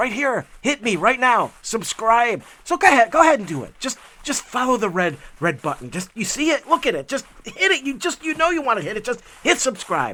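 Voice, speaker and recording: Raised and projected, a man's extremely high, bright, sharp voice moves at a fairly quick pace with very wide pitch swings. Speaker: hiking vlogger. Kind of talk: casual vlog narration. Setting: outdoors on a hiking trail.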